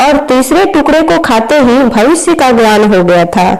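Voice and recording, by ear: A woman speaks at a fairly slow pace in a high voice with lively intonation and a slightly mellow tone. Strong room echo surrounds her.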